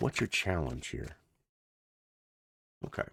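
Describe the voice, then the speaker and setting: A quiet man speaks with vocal fry in a dry, close sound with no echo. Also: very clean recording, silent background. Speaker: tarot reader. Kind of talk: tarot reading. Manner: quiet, low voice; casual.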